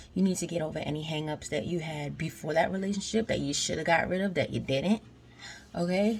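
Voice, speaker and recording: Quiet and very fast, a woman speaks at a fairly low pitch with ordinary pitch variation. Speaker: vlogger. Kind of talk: casual vlog monologue. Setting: at home washing dishes at night. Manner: quiet, trying to be low; animated, conversational.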